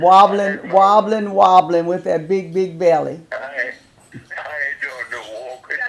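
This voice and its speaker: Against noticeable background noise, a man with a high pitch talks at a fairly slow pace, with ordinary pitch variation and big swings in loudness. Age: 80s+. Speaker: retired minister, war veteran.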